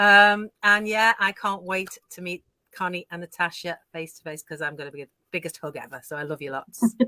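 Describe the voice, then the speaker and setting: Here is a normal speaking voice at a fairly quick pace with ordinary pitch variation and big swings in loudness. The sound is dry and close, with no echo. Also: woman, fairly low pitch for a woman. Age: 60s. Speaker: online mentor. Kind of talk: casual chat.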